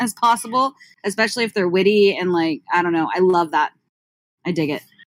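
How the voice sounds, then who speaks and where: Speaking at a fairly quick pace, a woman with a medium pitch and ordinary pitch variation is heard in a dry, close sound with no echo on a very clean recording with a silent background. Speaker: rapper. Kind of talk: casual chat. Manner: fast.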